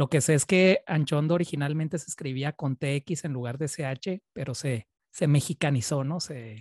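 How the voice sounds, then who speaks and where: Against a quiet background, a man speaks with hardly any pauses at a fairly high pitch. His voice is somewhat breathy, and the sound is dry with no echo. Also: ordinary pitch variation, moderate pace. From Chihuahua, northern Mexico. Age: 30s. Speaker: interviewer, Spanish teacher. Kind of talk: interview. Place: home room. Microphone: studio mic.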